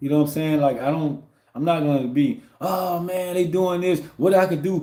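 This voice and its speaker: A man's high-pitched voice, dark and mellow in tone, at a fairly quick pace. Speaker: livestreamer and truck driver. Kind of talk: casual livestream monologue. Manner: fast; rambling with many fillers.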